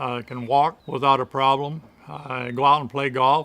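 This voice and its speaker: Bright and sharp in tone, a man's medium-pitched voice moves at a moderate pace. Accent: Midwestern American. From Michigan. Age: 70s. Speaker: amputee, retired draft horse owner. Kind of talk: testimonial interview answer.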